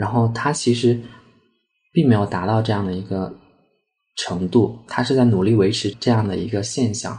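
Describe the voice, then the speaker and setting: Dark, mellow and somewhat breathy, a man's fairly low voice moves at a moderate pace with ordinary pitch variation and long, frequent pauses. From Sichuan, Chengdu. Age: 20s. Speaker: art therapy analyst, former teacher. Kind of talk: personal storytelling interview.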